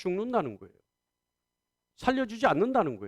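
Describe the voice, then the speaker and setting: A man's animated tone, dry and close with no echo. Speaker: pastor. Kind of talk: sermon. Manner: fast when excited.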